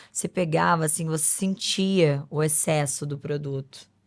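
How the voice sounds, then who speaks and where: A woman speaks with a very deep, low pitch at a fairly slow pace. The recording is very clean, with a silent background. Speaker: beauty pageant winner and influencer. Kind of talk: podcast interview.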